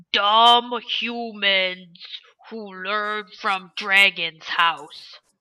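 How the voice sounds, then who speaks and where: A female-sounding voice of medium pitch performs a put-on character voice at a very slow pace. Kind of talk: comic monster voice. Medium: actual play. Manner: broken, simple grammar.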